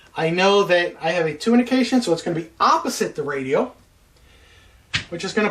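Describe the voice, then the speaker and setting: Somewhat breathy, a woman speaks at a fairly low pitch with very wide pitch swings. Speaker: flight instructor. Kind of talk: tutorial. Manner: fast.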